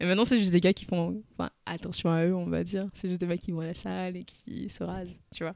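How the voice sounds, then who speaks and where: With hardly any pauses, a woman keeps up a fairly quick pace. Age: 20s. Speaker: podcast host. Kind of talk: casual interview. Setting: recorded at guest's home.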